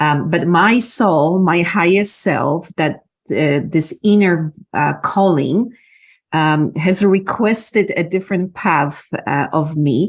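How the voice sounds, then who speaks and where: A woman with a Polish accent speaks at a very slow pace with very even loudness and ordinary pitch variation on a very clean recording with a silent background. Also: fairly low pitch for a woman. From Poland. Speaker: business mentor and energy healer. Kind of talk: interview. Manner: halting, many fillers.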